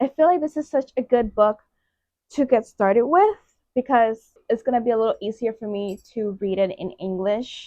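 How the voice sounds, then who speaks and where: In a Puerto Rican accent, a woman speaks at a moderate pace with ordinary pitch variation. Her tone is dark and mellow, and the sound is dry and close with no echo. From Puerto Rico. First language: Spanish. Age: 20s. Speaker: booktuber. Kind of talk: casual vlog. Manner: animated.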